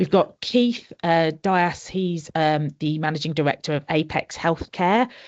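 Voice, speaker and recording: A woman with a Birmingham accent speaks at a very deep, low pitch, moving at a moderate pace with ordinary pitch variation. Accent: Birmingham twang. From Birmingham area, English Midlands. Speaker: conference speaker, social care sustainability consultant. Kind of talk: interview. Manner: animated.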